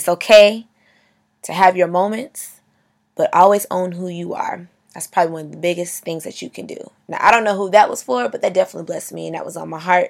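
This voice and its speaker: Speaking at a very fast pace, a woman uses an animated tone with big swings in loudness. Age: 20s. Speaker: podcast host. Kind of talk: motivational monologue.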